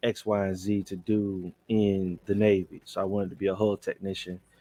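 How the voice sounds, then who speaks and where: This man speaks with a Southern US accent in a fairly low pitch. The sound is dry and close, with no echo. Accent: Southern US country. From Alabama, US South. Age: 40s. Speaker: truck driver and Navy veteran. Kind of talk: casual podcast conversation. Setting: podcast recording.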